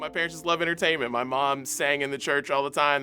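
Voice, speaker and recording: With music in the background, a man with an American accent and a fairly high pitch speaks at a very fast pace. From West Virginia, USA. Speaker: radio DJ, host and emcee. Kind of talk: interview answer, casual talk to camera.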